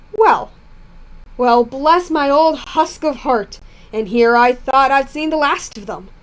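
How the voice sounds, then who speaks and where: In a put-on character voice, a woman cackles at a high pitch and a fairly slow pace. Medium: read story. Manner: mocking, cackling.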